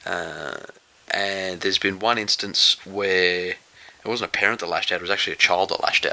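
Over noticeable background noise, a man with a fairly low pitch talks at a fairly quick pace with fairly even intonation. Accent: Australian. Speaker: podcast co-host, rugby league. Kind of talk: casual chat.

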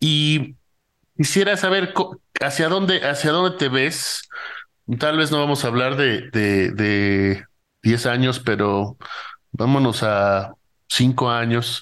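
A man's medium-pitched voice at a very slow pace, lively intonation, very even loudness, long, frequent pauses, and a quiet background. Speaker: podcast host. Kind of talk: interview conversation. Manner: halting.

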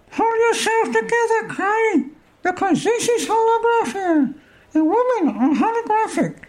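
A put-on character voice, squeaky and extremely high in pitch, moves at a moderate pace.

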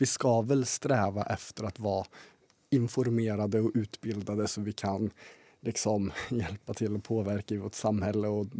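A man talks at a fairly slow pace in a fairly low pitch, his tone dark and mellow. The intonation is fairly even, and the sound is dry and close with no echo. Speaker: student podcast guest. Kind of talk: casual chat.

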